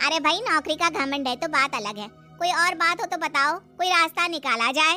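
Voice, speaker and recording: Over faint background music, a woman uses a cartoonish character voice at an extremely high pitch with hardly any pauses. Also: moderate pace. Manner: familiar, coaxing.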